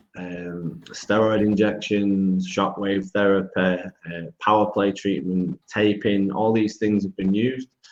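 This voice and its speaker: A man with a British accent talks at a fairly slow pace in a fairly low pitch, with hardly any pauses. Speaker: foot and ankle biomechanics clinician. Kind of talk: webinar lecture. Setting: video call webinar. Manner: loud; hesitant, many fillers.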